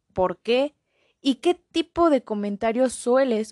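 A woman with a dark, mellow tone talks at a very slow pace with lively intonation, in a dry, close sound with no echo. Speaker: podcast host. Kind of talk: casual interview chat.

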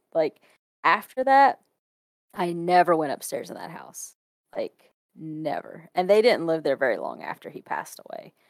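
In a Kentucky accent, a woman with a medium pitch speaks at a fairly slow pace with lively intonation in a dry, close sound with no echo. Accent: US Southern (Kentucky). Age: 20s. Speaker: photographer. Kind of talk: casual chat.

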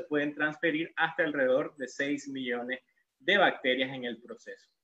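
With a normal speaking voice, a man talks at a moderate pace, his pitch fairly high and its variation ordinary. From Nicaragua, León. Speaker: dentist giving a lecture. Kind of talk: lecture.

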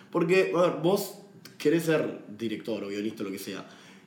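A man speaking at a fairly quick pace, with audible room echo. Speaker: podcast co-host, film commentator. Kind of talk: casual chat.

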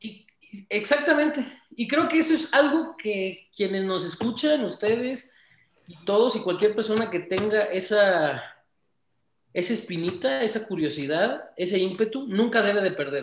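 A man speaks with a high pitch and very wide pitch swings. His loudness swings a lot, and his pace is fairly slow. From Mexico, Tamaulipas. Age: 20s. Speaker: entrepreneur. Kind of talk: interview.

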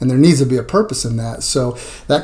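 At a fairly quick pace, a man talks in a somewhat breathy voice at medium pitch. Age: 50s. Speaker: strength coach. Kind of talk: interview.

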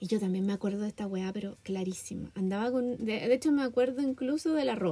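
A woman speaks in a Chilean accent at a very fast pace with ordinary pitch variation. Noticeable background noise is present. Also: fairly high pitch for a woman. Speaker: podcast co-host. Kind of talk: casual chat.

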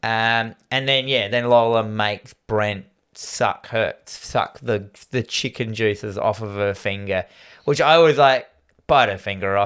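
Here a man speaks at a medium pitch and a fairly slow pace. The recording is very clean, with a silent background. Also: fairly even intonation. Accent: Australian. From Australia. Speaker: podcast host. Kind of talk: casual chat, horror movie discussion.

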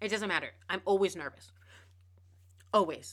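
Her pitch is medium and her tone bright and sharp. The woman speaks at a fairly quick pace. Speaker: podcast host. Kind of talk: casual, conversational, some profanity. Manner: fast talker; repeats words, slight stutter.

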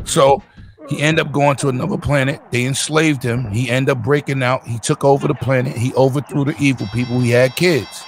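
Music plays in the background as a man speaks at a fairly quick pace. His medium-pitched voice carries an animated tone. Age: 50s. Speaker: gaming stream co-host. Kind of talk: casual chat.

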